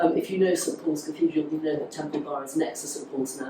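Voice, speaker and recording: A woman's voice with ordinary pitch variation amid noticeable background noise. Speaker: journalist and tour guide. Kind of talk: public talk. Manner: fast.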